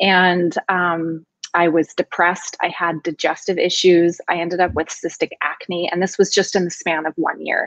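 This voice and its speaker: Flat and monotone, the voice moves at a moderate pace with hardly any pauses, in a dry sound with no echo and a quiet background. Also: woman, fairly low pitch for a woman. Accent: American. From California Central Coast, Paso Robles; California. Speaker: nutrition consultant; guest. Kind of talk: interview. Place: home room. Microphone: video call.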